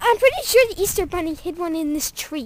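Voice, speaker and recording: A cartoonish character voice speaks at a fairly quick pace with an extremely high pitch. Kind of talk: kids' amateur puppet comedy. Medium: puppet show.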